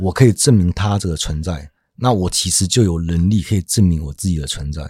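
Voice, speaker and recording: A man's very deep, low voice, dark, mellow and somewhat breathy, on a very clean recording with a silent background. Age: middle-aged. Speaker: podcast host. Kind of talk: casual chat about philosophy.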